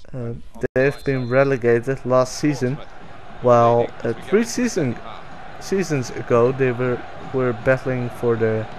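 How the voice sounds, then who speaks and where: Against noticeable background noise, a man with a Dutch accent speaks at medium pitch and a fairly slow pace, his intonation fairly even and his pauses long and frequent. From Netherlands. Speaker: gaming YouTuber. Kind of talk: gameplay commentary. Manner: hesitant, many fillers.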